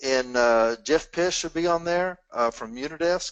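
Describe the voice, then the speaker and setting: A man with a Southern US accent speaks in a high pitch. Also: quiet background. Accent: southern drawl. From US South. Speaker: Q&A moderator. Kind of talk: webinar Q&A discussion. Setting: live webinar.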